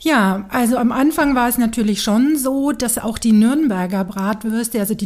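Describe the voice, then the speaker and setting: A woman with a fairly high pitch and ordinary pitch variation speaks at a fairly slow pace against noticeable background noise. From Franconia, Nuremberg (Germany). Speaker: city tour guide. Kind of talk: casual interview. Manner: lively.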